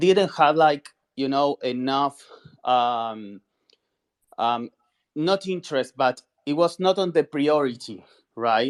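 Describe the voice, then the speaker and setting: Delivered at a fairly slow pace, the speech comes with a Spanish accent. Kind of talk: expert discussion on video call. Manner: halting, repeats words.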